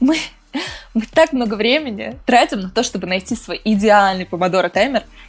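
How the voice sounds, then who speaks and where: This is a plain, everyday voice at a moderate pace. Its intonation is lively. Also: woman, fairly high pitch for a woman. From Moscow region, Russia. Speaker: entrepreneur and author. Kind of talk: casual interview.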